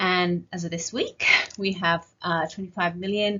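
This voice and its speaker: Somewhat breathy, the speaker has an English accent and keeps fairly even intonation at a moderate pace. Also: woman. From northern England. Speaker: clinical geneticist and pediatrician. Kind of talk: conference talk. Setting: virtual conference.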